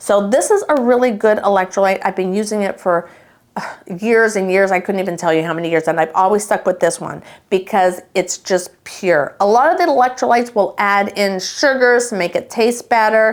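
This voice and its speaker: Animated in tone, a woman speaks at medium pitch and a moderate pace with ordinary pitch variation. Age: 60s. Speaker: lifestyle vlogger. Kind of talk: casual tutorial.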